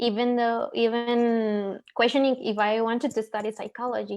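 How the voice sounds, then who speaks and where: A woman speaks in a fairly high, flat monotone with a Spanish accent over a quiet background. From Mexico, Ciudad Juarez. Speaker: psychology graduate. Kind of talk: panel discussion.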